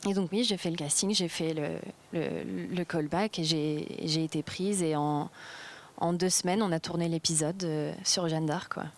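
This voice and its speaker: Speaking at a fairly slow pace, a woman uses a fairly low pitch and fairly even intonation. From Spain. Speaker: actress. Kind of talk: interview. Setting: film festival. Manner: halting, many repetitions.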